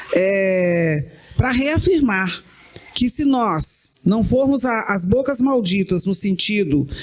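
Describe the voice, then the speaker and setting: The woman's intonation is lively. Her speech goes very slowly. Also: medium pitch for a woman. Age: 60s. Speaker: writer. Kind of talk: panel discussion.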